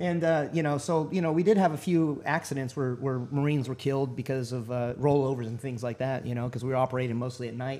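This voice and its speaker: With a Texan accent, a man speaks at a very fast pace in a dark, mellow tone, medium pitch, and ordinary pitch variation. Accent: Texan American English. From Texas. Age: 40s. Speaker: military veteran, navy corpsman. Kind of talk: interview.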